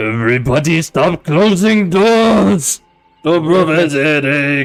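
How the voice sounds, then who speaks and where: A put-on character voice at a fairly slow pace over faint music in the background. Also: man, fairly high pitch for a man. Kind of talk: broken grammar.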